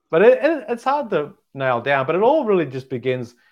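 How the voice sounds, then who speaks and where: In an Australian accent, a man talks at a fairly quick pace with lively intonation. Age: 40s. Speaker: stand-up comedian. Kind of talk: casual interview.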